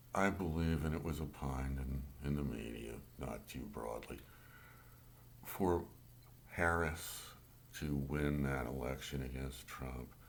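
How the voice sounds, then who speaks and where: Through audible room echo, a man with a very deep, low pitch talks at a fairly slow pace with ordinary pitch variation and long, frequent pauses. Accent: American. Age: 60s. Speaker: amateur political commentator. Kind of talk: political rant monologue. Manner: halting, self-correcting.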